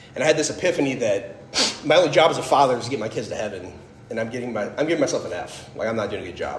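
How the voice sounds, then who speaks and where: An animated man with an American accent talks very fast with big swings in loudness, heard with audible room echo and noticeable background noise. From US Midwest, Fort Wayne, Indiana. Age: 30s. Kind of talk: testimony talk.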